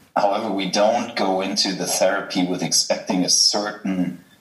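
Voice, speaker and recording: With a German accent, a man speaks over noticeable background noise. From Germany. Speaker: healthcare company co-founder and investor. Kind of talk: interview. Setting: video call. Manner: halting, many filler sounds.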